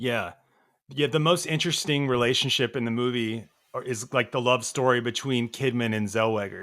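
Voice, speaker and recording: A man speaks at a moderate pace with ordinary pitch variation. He has a slight Southern US accent. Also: medium pitch for a man, very clean recording, silent background. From US South, Nashville, Tennessee. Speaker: film podcast guest. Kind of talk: casual chat.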